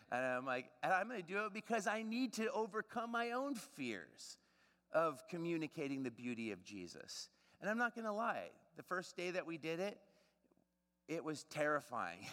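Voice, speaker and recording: A man speaks loudly in a high pitch with a bright, sharp tone. His pitch swings very widely at a moderate pace. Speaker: preacher. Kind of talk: sermon. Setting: church.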